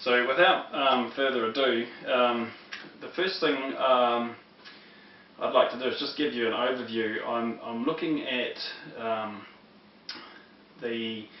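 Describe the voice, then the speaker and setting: With a New Zealand accent and a medium pitch, a man talks at a fairly slow pace with long, frequent pauses and ordinary pitch variation, over noticeable background noise and audible room echo. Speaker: religious teacher. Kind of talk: lecture. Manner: halting, many fillers.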